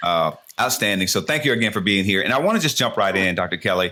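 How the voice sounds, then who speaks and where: On a very clean recording with a silent background, a man with an American accent talks in a fairly low pitch, his tone bright, sharp and animated. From United States. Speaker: podcast host. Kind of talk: interview.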